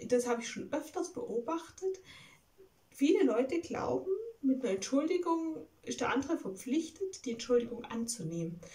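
A woman speaks at a moderate pace with a high pitch. Her tone is dark and mellow. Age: 20s. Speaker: video blogger. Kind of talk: casual vlog monologue. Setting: at home. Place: home room. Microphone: phone near.

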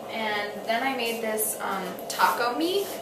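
A woman talks at a slow pace and a fairly high pitch. Background noise is clearly heard.

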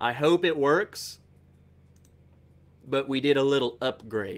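A man speaks at a slow pace in a medium pitch, with ordinary pitch variation and a fairly bright tone.

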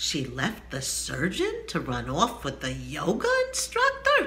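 At a fairly slow pace, a woman is talking. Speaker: humor vlogger. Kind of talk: comedic tutorial vlog. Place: home room. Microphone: phone near.

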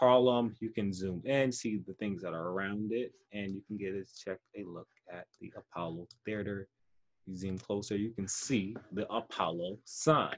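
A man with an American accent speaks in a normal speaking voice at a fairly slow pace. His pitch is fairly low, with ordinary pitch variation. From New York City, the Bronx. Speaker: teaching artist. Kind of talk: online lesson. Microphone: webcam.

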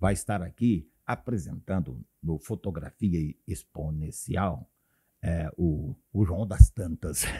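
Very slow and very deep, a man's low voice carries vocal fry and a dark, mellow tone, recorded dry and close with no echo. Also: lively intonation. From Paraná, Brazil. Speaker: pastor and radio broadcaster. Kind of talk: casual interview. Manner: halting.

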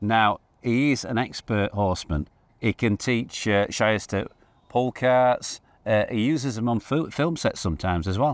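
With a dry sound and no echo, a man speaks at a fairly slow pace and ordinary pitch variation. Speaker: presenter. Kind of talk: casual vlog chat. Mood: hopeful, upbeat. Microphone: lapel.

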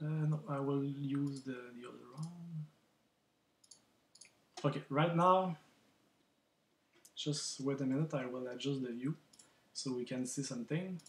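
Somewhat breathy and fairly high in pitch, a man talks at a fairly slow pace with long, frequent pauses, fairly even intonation and big swings in loudness. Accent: non-native. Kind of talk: software tutorial. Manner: hesitant, many fillers.

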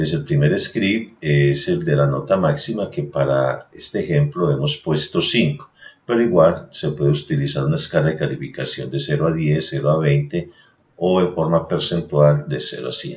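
Speaking very low and deep, a man keeps a moderate pace and ordinary pitch movement. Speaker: voice-over narrator of a university tutorial. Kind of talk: software tutorial narration. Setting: screen recording voice-over.

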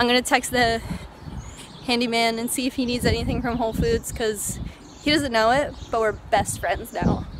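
The talk moves at a fairly quick pace with fairly even intonation. The sound is dry with no echo, over noticeable background noise. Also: woman. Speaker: vlogger. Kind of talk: casual vlog monologue. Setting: walking around city and store, in a car. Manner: rambling with many fillers. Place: street. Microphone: phone near.

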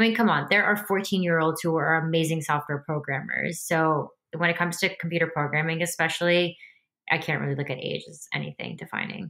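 With an American accent, a woman speaks fairly quickly in a fairly low pitch, her tone bright and sharp with vocal fry. Her intonation stays fairly even over a quiet background. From US Northeast (New Jersey). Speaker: tech startup co-founder and CTO. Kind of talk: interview. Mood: friendly, upbeat. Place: home room. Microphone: earbuds.

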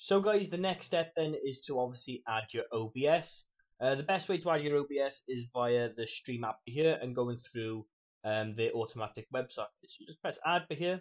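A man with an American accent, fairly high pitch and lively intonation at a moderate pace. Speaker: streamer and tutorial creator. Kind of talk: tutorial. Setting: screen recording with voiceover. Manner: casual, friendly, chatty.

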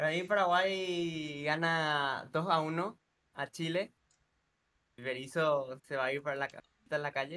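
A man's very slow, fairly high-pitched voice with a bright, sharp tone, fairly even intonation and long, frequent pauses. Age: 20s. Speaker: football content creator; football streamer. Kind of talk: casual chat; casual sports talk with a guest. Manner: halting. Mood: relaxed, cheerful. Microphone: studio mic.

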